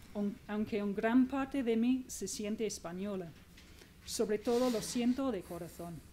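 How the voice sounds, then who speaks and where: A woman with a non-native accent talks at a fairly slow pace, her pitch fairly high and her tone dark and mellow. Her pitch varies in an ordinary way. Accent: foreign accent in Spanish. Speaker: magazine journalist. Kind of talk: book presentation speech.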